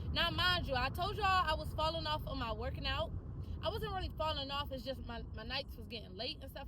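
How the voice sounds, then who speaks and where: Over noticeable background noise, a woman talks at a very fast pace in an animated tone. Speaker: vlogger and insurance agent. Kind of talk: casual vlog talk to camera.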